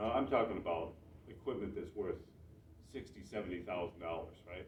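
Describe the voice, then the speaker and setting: Very fast speech from a man with an American accent, audible room echo around it. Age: 60s. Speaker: mushroom grower and seller. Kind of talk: club talk to audience. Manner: casual, halting with many restarts.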